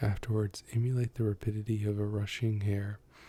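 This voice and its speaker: A soft-spoken man with a dark, mellow tone and fairly low pitch talks at a fairly quick pace, his intonation flat and monotone. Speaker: ASMR youtuber. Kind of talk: reading aloud; casual chat. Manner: loud at times.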